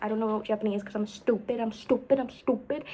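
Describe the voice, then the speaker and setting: There is noticeable background noise as a woman with an American accent speaks with ordinary pitch variation. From United States. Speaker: vlogger. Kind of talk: casual vlog storytelling. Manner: rambling, filler-heavy.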